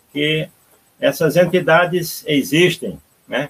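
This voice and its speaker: A man with a high pitch and ordinary pitch variation is recorded with a dry, close sound and no echo. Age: 70s. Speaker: spiritist medium. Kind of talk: interview testimony. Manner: halting.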